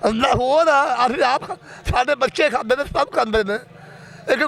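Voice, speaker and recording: A man speaks at an extremely high pitch with ordinary pitch variation. Noticeable background noise runs underneath. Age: 80s+. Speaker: herbal medicine seller. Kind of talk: interview answer.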